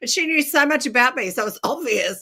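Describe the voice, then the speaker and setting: Lively intonation and a bright, sharp tone. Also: woman. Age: 60s. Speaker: makeup artist and speaker. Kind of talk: interview.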